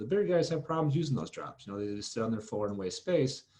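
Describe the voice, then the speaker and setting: A man's voice, dark and mellow in tone. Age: 30s. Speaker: steel distribution salesman. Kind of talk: podcast interview. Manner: halting, many fillers.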